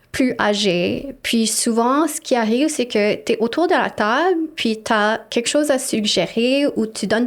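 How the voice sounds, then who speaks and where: Her pitch high and her intonation lively, a woman talks at a very slow pace with an English accent. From Montreal, Quebec. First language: English (speaking French). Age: 30s. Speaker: city councillor. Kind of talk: interview conversation.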